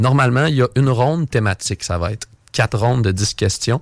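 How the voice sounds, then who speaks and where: An ordinary speaking voice from a man at medium pitch, with ordinary pitch variation and a fairly quick pace. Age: 20s. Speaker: game pub supervisor. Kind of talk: radio interview, casual.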